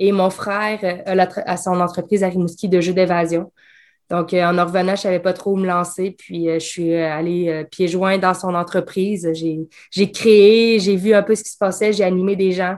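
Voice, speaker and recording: With a Quebec accent, a woman speaks at a medium pitch and a fairly slow pace in a monotone, flat intonation against a quiet background. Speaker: escape game designer. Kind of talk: casual chat. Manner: talkative.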